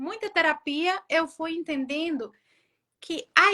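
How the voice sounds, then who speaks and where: A woman speaks in a raised, projected voice at an extremely high pitch, with a bright, sharp tone. Her intonation is lively and her pace very slow. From Brazil. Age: 40s. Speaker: author. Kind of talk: interview.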